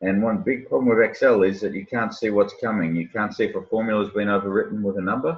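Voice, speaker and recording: Speaking at a very fast pace, a man rushes on with hardly any pauses. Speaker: software sales presenter. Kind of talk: product introduction over video call.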